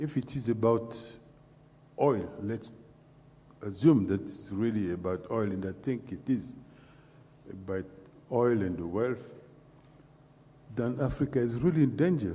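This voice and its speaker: Somewhat breathy and dark, mellow in tone, a man at medium pitch speaks at a fairly slow pace with long, frequent pauses. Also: ordinary pitch variation. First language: French. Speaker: panelist. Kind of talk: panel discussion. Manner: halting, many fillers.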